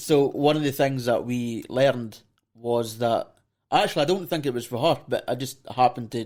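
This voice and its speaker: In a Scottish accent, a man talks at a moderate pace, his medium pitch moving with ordinary variation. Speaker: podcast host. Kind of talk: casual interview.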